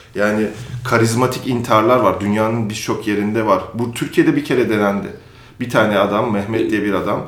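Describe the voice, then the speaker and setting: A man speaks fairly quickly in a fairly low voice. His intonation is fairly even, and room echo is audible. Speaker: magazine editor-in-chief. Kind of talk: interview conversation.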